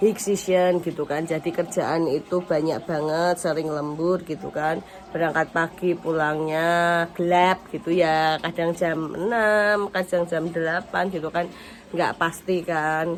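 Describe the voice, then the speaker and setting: A woman with a fairly low voice speaks at a fairly slow pace in a monotone, flat intonation. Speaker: vlogger, factory worker and housewife. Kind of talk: casual vlog.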